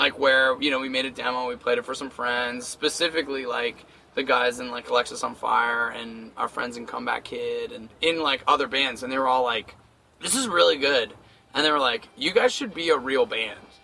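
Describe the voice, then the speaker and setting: A man at medium pitch speaks fairly quickly with ordinary pitch variation, against noticeable background noise. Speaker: touring punk metal band singer. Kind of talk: interview.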